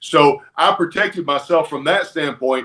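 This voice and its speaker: A man with a Southern US accent talks in a fairly high voice. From Alabama, US South. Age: 40s. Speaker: retired pro wrestler. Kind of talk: interview, casual storytelling.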